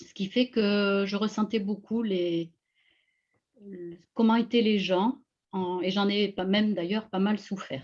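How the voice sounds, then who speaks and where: The woman talks at a very slow pace. Her voice is medium-pitched, with fairly even intonation. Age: 60s. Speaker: energy healer. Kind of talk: interview on live video call. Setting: video call. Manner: hesitant, many fillers.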